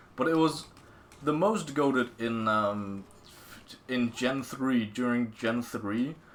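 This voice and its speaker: Noticeable background noise sits behind this speaker. He is a man talking at a very slow pace with lively intonation. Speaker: gaming streamer. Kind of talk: casual gaming commentary. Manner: halting, many fillers and repetitions.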